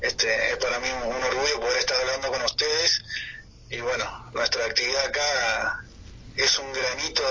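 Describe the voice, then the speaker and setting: Noticeable noise fills the background. Against it, a man speaks at a moderate pace. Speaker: army officer at Antarctic base. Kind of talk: radio interview. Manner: halting, many fillers.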